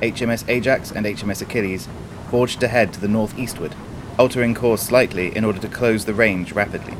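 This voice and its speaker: Over noticeable background noise, a man with a medium pitch talks at a fairly quick pace with fairly even intonation. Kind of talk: scripted narration. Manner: formal, measured, steady delivery.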